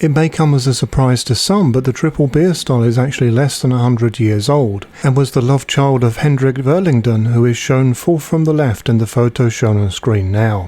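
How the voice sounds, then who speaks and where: With a British accent, a man talks at a moderate pace in a dark, mellow tone, his pitch medium with ordinary variation, his loudness very even and hardly any pauses. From Britain. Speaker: homebrewing youtuber. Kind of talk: scripted narration. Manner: formal.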